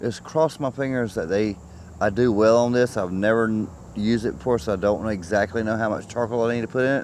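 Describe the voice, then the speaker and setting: With an unremarkable speaking voice, a man talks at a fairly quick pace and medium pitch, using ordinary pitch variation. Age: 50s. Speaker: camping vlogger. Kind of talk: casual vlog narration.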